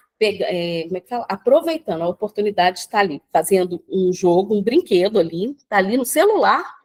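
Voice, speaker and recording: With an unremarkable speaking voice, a woman talks at medium pitch and a fairly quick pace, her intonation lively and the sound dry and close with no echo. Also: big swings in loudness. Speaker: personal development speaker. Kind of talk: live talk on video call. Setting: video call from the beach.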